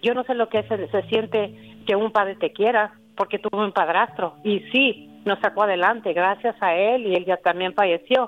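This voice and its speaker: Hers is a plain, everyday voice: a woman at medium pitch, moderate pace, fairly even intonation, very even loudness and hardly any pauses. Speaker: caller. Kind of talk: personal testimony.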